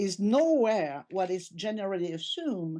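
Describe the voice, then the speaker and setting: The voice has a dark, mellow tone and a French accent. Intonation is lively over a quiet background. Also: woman. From France. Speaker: tech company CEO. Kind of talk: podcast interview.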